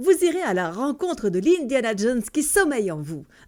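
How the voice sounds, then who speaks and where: In a very clean recording with a silent background, a woman speaks in a fairly high, upbeat voice with very wide pitch swings. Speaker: voice-over artist. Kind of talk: satirical radio-style column. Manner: upbeat, ironic.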